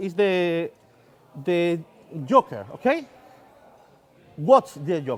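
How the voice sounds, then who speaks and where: Speaking at a very slow pace with long, frequent pauses, a man with a Spanish accent uses a high pitch and very wide pitch swings. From southern Spain. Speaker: magician. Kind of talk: stage magic performance. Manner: halting, hesitant.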